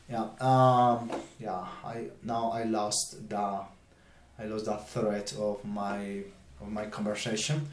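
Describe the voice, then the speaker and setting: A man's fairly low voice, very slow and fairly even in intonation, with long, frequent pauses and audible room echo. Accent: non-native. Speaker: YouTuber, political and theology commentator. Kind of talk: casual vlog monologue. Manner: halting, many fillers and repetitions.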